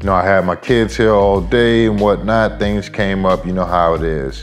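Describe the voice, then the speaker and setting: A man's voice over faint background music. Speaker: hobby vlogger. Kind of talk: casual vlog chat. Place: home room.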